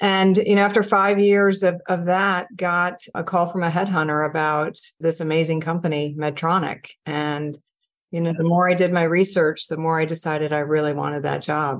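A woman speaks in a plain, everyday voice at a fairly low pitch. She keeps a moderate pace. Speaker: corporate CFO. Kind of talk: interview. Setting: video call.

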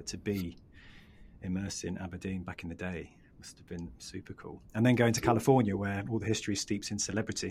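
This man speaks very fast in a fairly low, somewhat breathy voice, his intonation fairly even while his loudness swings widely. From northern England. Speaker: podcast host. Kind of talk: casual interview.

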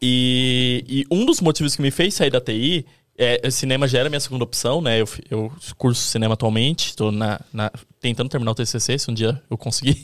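Here is an unremarkable speaking voice, with ordinary pitch variation and a moderate tempo. The background is silent and the recording very clean. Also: man, medium pitch for a man. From Brazil, interior of São Paulo state. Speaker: video editor. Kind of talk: casual chat.

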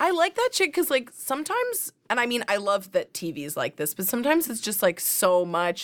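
A woman speaks with a Canadian accent at a high pitch. Her pitch swings very widely, and her pace is fairly quick. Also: hardly any pauses, dry, close sound with no echo. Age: 20s. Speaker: podcast host. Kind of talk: casual chat.

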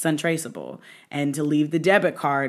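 This woman's voice sits very deep and low in pitch. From Indianapolis, US Midwest. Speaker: podcast guest, friend of host. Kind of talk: casual chat.

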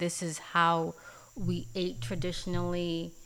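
Speaking at a fairly slow pace, a woman uses an ordinary speaking voice with a fairly low pitch. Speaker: podcast host. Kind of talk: casual podcast conversation.

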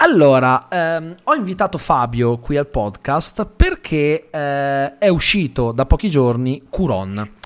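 In a very clean recording with a silent background, a man speaks very slowly at a fairly high pitch, with lively intonation and hardly any pauses. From Italy (raised locally, Calabrian family from Lamezia Terme). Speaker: podcast host. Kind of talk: casual interview.

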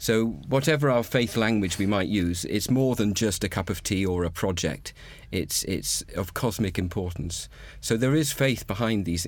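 The voice is a plain, everyday voice, belonging to a man with a fairly low pitch. He talks at a moderate pace with lively intonation. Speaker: retired priest. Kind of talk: panel discussion.

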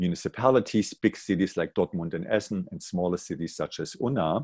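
Speaking with a German accent, a man has a very deep, low pitch and ordinary pitch variation. The sound is dry and close with no echo, in a very clean recording with a silent background. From East Germany (Jena, Thuringia). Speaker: executive director of a university alliance office. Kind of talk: casual interview.

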